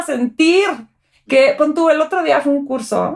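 A woman's voice at a very slow pace, with lively intonation. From Mexico (French family). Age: 40s. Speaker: physiotherapist. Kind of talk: personal testimony.

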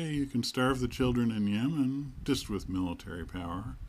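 Lively intonation marks this man's medium-pitched voice as he speaks at a moderate pace. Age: 60s. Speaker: solo podcaster. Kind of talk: solo monologue podcast. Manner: halting, many fillers and restarts.

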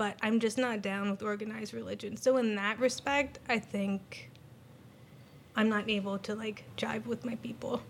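With an American accent, a woman in an ordinary speaking voice talks at a moderate pace with fairly even intonation. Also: fairly high pitch for a woman. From Pennsylvania, US. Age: 40s. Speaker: nurse or healthcare worker.

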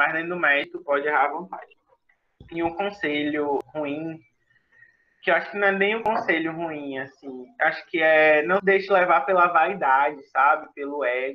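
Fairly high in pitch, a man with a plain, everyday voice speaks at a moderate pace with ordinary pitch variation. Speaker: junior enterprise movement leader. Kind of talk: interview.

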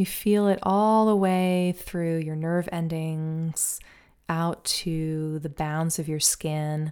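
A woman speaks very slowly in a soothing, calm, dark and mellow tone. Her pitch is fairly low, her intonation fairly even, and the recording very clean with a silent background. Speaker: violin teacher and podcast host. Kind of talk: guided meditation; solo podcast monologue, conversational. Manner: slow, soothing, calm; gentle, unhurried, hypnotic.

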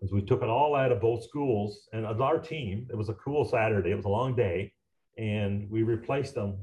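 Speaking at a fairly quick pace, a man has a fairly low, somewhat breathy voice with ordinary pitch variation. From Newfoundland, Canada. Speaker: recycling business owner. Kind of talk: interview conversation. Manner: drops H's.

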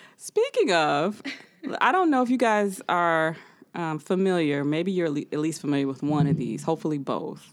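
In a normal speaking voice, a woman with an American accent talks at a moderate pace and a fairly low pitch, using lively intonation on a very clean recording with a silent background. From US Midwest. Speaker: podcast host. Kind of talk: casual chat.

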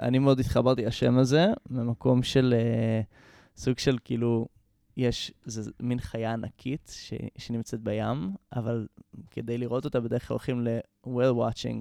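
A man speaks at a medium pitch with a dark, mellow tone and fairly even intonation. His fairly slow delivery has long, frequent pauses, in a dry, close sound with no echo. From Israel, Jerusalem. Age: 20s. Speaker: musician and composer. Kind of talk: casual interview.

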